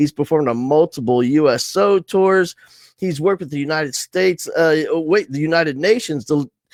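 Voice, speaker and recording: A man with an American accent and a fairly high pitch talks at a fairly quick pace in an animated tone, recorded with a dry, close sound and no echo. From New Jersey, then Texas. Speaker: live show host, education speaker. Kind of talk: casual interview. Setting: online live stream.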